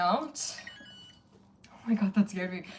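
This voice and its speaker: At a moderate pace, the speaker talks over noticeable background noise. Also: woman. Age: 40s. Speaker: livestreamer. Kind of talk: casual livestream chat.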